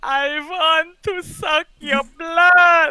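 An extremely high-pitched, put-on character voice. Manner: menacing, theatrical.

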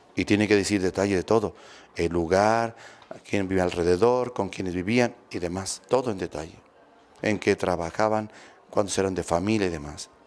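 A man with a low pitch and a slightly mellow tone speaks at a moderate pace. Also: ordinary pitch variation.

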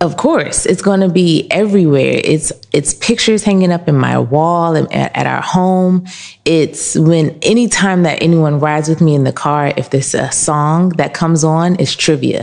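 Fairly low-pitched female speech with hardly any pauses, over noticeable background noise. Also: ordinary pitch variation, moderate pace, very even loudness. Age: 30s. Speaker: candle shop owner. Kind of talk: interview. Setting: in her shop.

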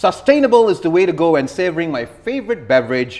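This is a man speaking. His pitch swings very widely. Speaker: talk show host. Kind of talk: talk show host monologue. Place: studio.

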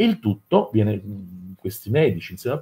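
A man's voice has a dark, mellow tone with a husky, rough edge. His pitch swings widely.

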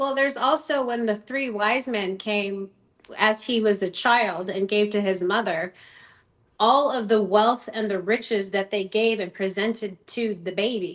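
The pace is fairly slow. The background is quiet. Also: woman, ordinary pitch variation. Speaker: ministry founder and author; podcast guest. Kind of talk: casual interview. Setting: remote call from home. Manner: animated. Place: home room. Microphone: video call.

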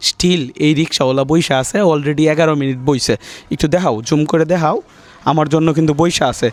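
Here a man speaks in an ordinary speaking voice with a fairly high pitch. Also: ordinary pitch variation, very even loudness. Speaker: YouTuber doing street surprise videos. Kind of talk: casual vlog narration. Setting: outdoors on street at night.

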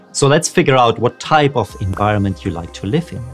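A man's voice with faint music in the background. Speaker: career coach youtuber. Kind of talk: educational talk to camera. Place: home room.

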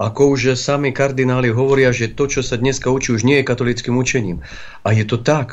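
A man speaks with monotone, flat intonation. His pace is fairly quick. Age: 40s. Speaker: bishop. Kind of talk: religious talk show interview. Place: studio.

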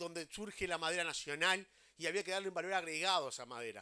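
Speaking at a fairly quick pace against a quiet background, a man with a high pitch has a bright, sharp tone and ordinary pitch variation. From Uruguay. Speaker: housing agency head. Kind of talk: public speech. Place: open country. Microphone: handheld.

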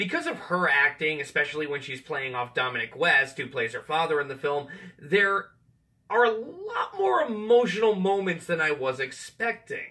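A man talks at a moderate pace with a fairly high pitch, big pitch swings and a bright, sharp tone.

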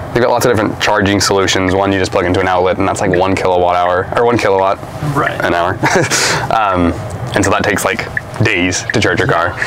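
Amid noticeable background noise, a man with a very deep, low pitch talks at a very fast pace, his intonation fairly even and his loudness very even. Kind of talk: casual conversation. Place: car.

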